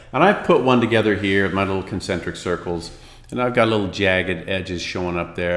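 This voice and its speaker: In a room with audible echo, a man with a very deep, low voice speaks at a fairly quick pace with ordinary pitch variation. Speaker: design instructor. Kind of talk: tutorial. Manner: casual, many fillers.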